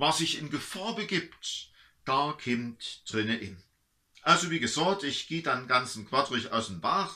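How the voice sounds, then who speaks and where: Against a quiet background, a man with an Erzgebirge accent speaks at a very slow pace. His fairly high pitch makes very wide swings, and his tone is bright and sharp. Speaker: pastor. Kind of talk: dialect story reading. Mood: warm, humorous. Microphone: camera far.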